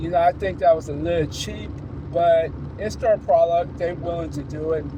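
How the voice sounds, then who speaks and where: Noticeable background noise sits behind the voice. The talking proceeds at a moderate pace. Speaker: tech reviewer / channel owner. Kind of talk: casual product review. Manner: halting, many fillers and repetitions.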